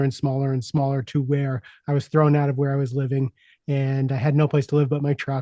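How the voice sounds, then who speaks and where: A man with an American accent speaks at a moderate pace, his tone dark and mellow and his pitch fairly high. Intonation is fairly even, and the sound is dry and close with no echo against a quiet background. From US Northeast, Long Island New York. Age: 60s. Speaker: executive coach and speaker. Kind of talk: podcast interview, personal story. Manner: halting, many repetitions and fillers.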